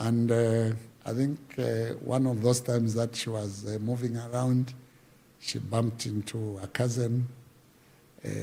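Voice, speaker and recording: A man speaks fairly slowly in a medium-pitched, somewhat breathy voice with a dark, mellow tone. His intonation is monotone and flat, with long, frequent pauses. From Zambia, Luapula region. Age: 60s. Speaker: veteran musician and folklore artist. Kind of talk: interview, life story. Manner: halting, many fillers.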